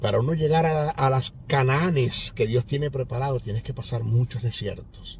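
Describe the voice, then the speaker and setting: The pace of this man's speech is moderate. Audible room echo can be heard. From Venezuela, Maracaibo (Zulia). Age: 60s. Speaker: pastor and Bible teacher. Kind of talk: sermon; testimony.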